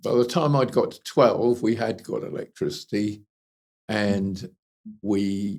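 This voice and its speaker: A man in a southern English accent, at a very slow pace with big swings in loudness. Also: medium pitch for a man, ordinary pitch variation. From southern England, Kent. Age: 80s+. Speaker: retired engineer and animal rescue consultant. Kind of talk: life story interview.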